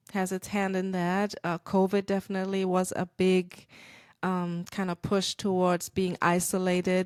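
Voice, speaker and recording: The speaker has a German accent and a fairly slow pace. The recording is very clean, with a silent background. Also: woman. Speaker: podcast host, church marketing consultant. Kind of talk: podcast monologue. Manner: casual, conversational; halting with fillers.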